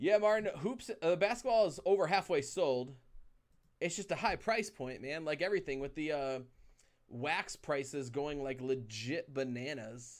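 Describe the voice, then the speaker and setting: A man talks at a moderate pace with fairly high pitch. His intonation is lively. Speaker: card break livestream host. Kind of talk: casual livestream chat. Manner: loud. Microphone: very close to the mic.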